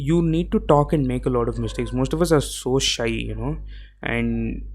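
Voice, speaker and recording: A man with a South Indian accent speaks at a moderate pace. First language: Tamil. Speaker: podcaster. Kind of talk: solo podcast monologue. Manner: casual, with fillers and self-corrections.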